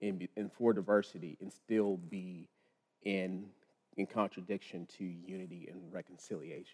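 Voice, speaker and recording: A man with an American accent speaks at a fairly slow pace, his intonation fairly even. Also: dry, close sound with no echo. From Texas (Lubbock). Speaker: pastor. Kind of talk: church conversation on stage. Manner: halting.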